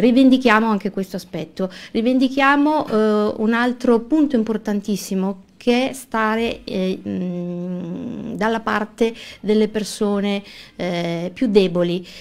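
At a very slow pace, a woman talks with a fairly high pitch and ordinary pitch variation. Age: 40s. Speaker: lawyer and local election candidate. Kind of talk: radio interview. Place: studio. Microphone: studio mic.

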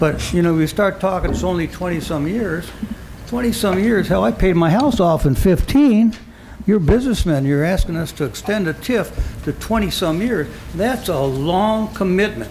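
Music plays in the background as a man with an American accent and high pitch speaks at a moderate pace with lively intonation, audible room echo around him. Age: 70s. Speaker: city council member. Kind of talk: council meeting debate. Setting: council chamber meeting.

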